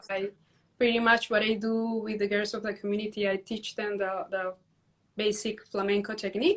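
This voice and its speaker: A woman speaks with a Spanish accent at a fairly high pitch. Her intonation is monotone and flat. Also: moderate pace. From Peru. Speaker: dance teacher and community founder. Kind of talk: interview on a livestream.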